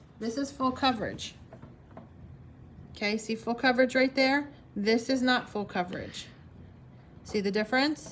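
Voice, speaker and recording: The speech has fairly even intonation and long, frequent pauses, with noticeable background noise behind it. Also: woman, high pitch for a woman. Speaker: craft workshop instructor. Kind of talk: tutorial. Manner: fast.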